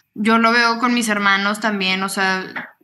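Over audible room echo, a woman speaks in a bright, sharp tone with fairly even intonation. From Torreón, Coahuila, northern Mexico. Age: 20s. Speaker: model and social media influencer, psychology student. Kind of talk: casual interview.

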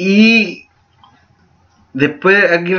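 Speaking very slowly with a Chilean accent, a man uses a high voice and fairly even intonation. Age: 20s. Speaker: student podcast host. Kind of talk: casual chat.

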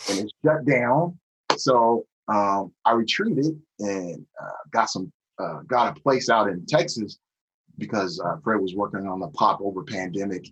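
Speaking with an American accent in a plain, everyday voice, a man moves at a fairly slow pace with lively intonation. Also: fairly low pitch for a man. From US Pacific Northwest, Tacoma, Washington. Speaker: music producer. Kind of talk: casual chat.

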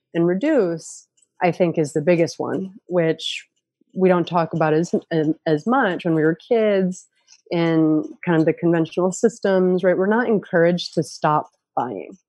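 With a dark, mellow tone and ordinary pitch variation, a woman speaks at a fairly low pitch. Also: fairly slow pace. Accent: US Northeastern. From upstate New York. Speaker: permaculture educator. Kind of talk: casual interview.

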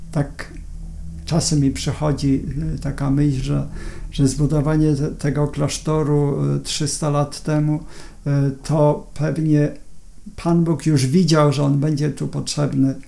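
A man speaks at a very slow pace. His tone is dark and mellow, and somewhat breathy. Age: 60s. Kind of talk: interview. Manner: halting, with repetitions and fillers.

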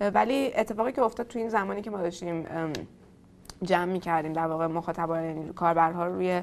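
A normal speaking voice from a woman, fairly low in pitch, at a fairly quick pace with ordinary pitch variation, on a very clean recording with a silent background. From Tehran, Iran. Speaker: startup founder. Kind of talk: interview.

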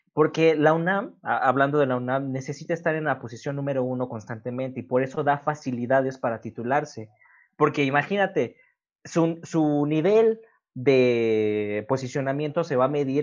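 A man talks in an unremarkable speaking voice. His pitch varies in an ordinary way. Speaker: podcast host. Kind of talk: casual chat.

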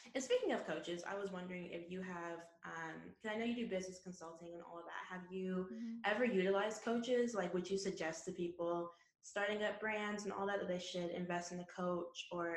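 A woman talks at a fairly quick pace and medium pitch with ordinary pitch variation, amid noticeable background noise and audible room echo. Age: 20s. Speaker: podcast host. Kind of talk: casual chat.

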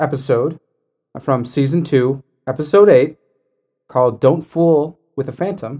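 His pitch sits fairly high for a man. He uses ordinary pitch variation. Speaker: prosecutor. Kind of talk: casual mock-trial debate podcast.

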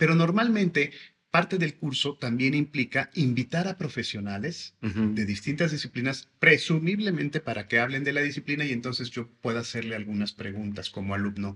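With a bright, sharp tone and lively intonation, a man talks at medium pitch and a fairly quick pace, hardly pausing at all. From Mexico, Veracruz (Xalapa). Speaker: school director. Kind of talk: interview.

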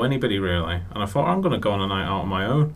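A man with a very deep, low pitch and ordinary pitch variation, amid noticeable background noise. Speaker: comedian and author, radio guest.

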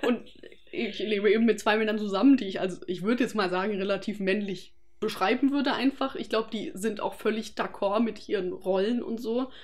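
With a plain, everyday voice, a woman talks at a fairly quick pace, her pitch fairly high and ordinarily varied. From Germany, Freiburg area (Baden). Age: 20s. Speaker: anthropology student. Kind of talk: casual interview chat.

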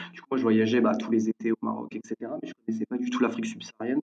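A man's voice at medium pitch. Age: 20s. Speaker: entrepreneur. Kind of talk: interview. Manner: halting.

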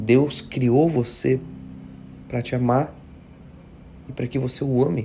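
A man with a medium pitch and a dark, mellow tone sounds somewhat breathy. He talks at a fairly slow pace with fairly even intonation and long, frequent pauses. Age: 20s. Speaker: pastor. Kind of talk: devotional sermon. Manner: casual, conversational.

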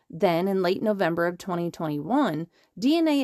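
In a very clean recording with a silent background, a woman speaks in a plain, everyday voice with an American accent, using a fairly low pitch, a fairly quick pace and lively intonation. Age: 40s. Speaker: podcast host and parent activist. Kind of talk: scripted narration.

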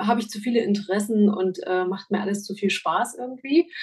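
Somewhat breathy, a woman speaks with a fairly high pitch and ordinary pitch variation. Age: 40s. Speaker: make-up artist and photographer. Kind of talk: interview.

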